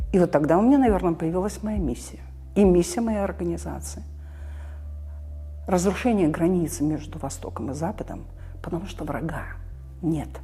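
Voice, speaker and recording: A woman speaks at a moderate pace, leaving long, frequent pauses. Noticeable background noise runs under her voice. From Belarus, Minsk. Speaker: civil society activist, former orchestra director. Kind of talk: interview answer.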